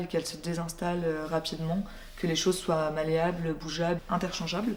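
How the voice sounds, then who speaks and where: The speaker is a woman. Her intonation is flat and monotone. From France, Burgundy (Dijon). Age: 20s. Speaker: visual artist. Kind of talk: interview monologue. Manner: hesitant, many filler sounds.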